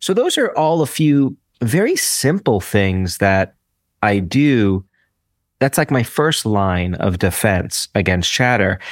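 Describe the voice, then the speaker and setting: A man speaks very slowly at a medium pitch with very wide pitch swings and very even loudness. The sound is dry and close with no echo, on a very clean recording with a silent background. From US, Brooklyn, New York. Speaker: psychology professor and author. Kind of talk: interview.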